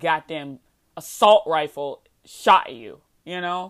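A woman speaks at a fairly low pitch in a plain, everyday voice. The recording is very clean, with a silent background. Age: 20s. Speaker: podcast host. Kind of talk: solo commentary monologue. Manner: casual, laughing often.

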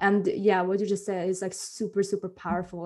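At a moderate pace and medium pitch, a woman with a plain, everyday voice speaks with fairly even intonation. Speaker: podcast host. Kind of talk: interview, podcast conversation.

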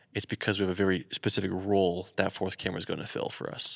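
The man's voice is fairly low in pitch and very fast. His intonation stays monotone and flat. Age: 20s. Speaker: podcast co-host and wedding videographer. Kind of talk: casual chat. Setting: echoey garage studio. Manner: casual, chatty, interrupts often.

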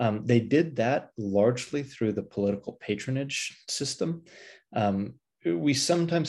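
In an American accent, a man talks at a moderate pace with lively intonation, a normal speaking voice, and a quiet background. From Pasadena, California. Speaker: history professor and author. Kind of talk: interview.

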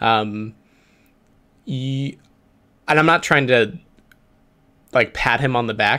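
With ordinary pitch variation, this man speaks at a fairly slow pace. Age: 20s. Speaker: startup co-founder and show co-host. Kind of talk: casual livestream chat.

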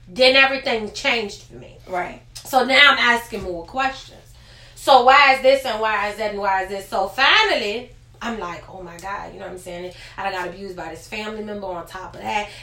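A woman's medium-pitched voice at a fairly quick pace, with ordinary pitch variation, big swings in loudness, audible room echo and noticeable background noise. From Richmond, Virginia, US. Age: 20s. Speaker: podcast guest sharing personal story. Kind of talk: testimony.

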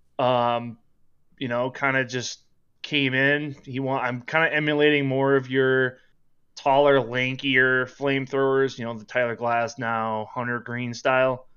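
Speaking at a fairly slow pace with a Minnesotan accent, a man holds a medium pitch and monotone, flat intonation. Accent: Minnesota. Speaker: online sports sim league player. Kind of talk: casual chat.

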